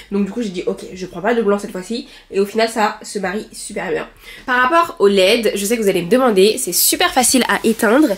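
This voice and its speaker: Noticeable background noise sits behind a woman with a fairly high pitch. She talks at a fairly quick pace with lively intonation. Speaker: lifestyle vlogger. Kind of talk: casual vlog talk to camera. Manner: fast; hesitant fillers.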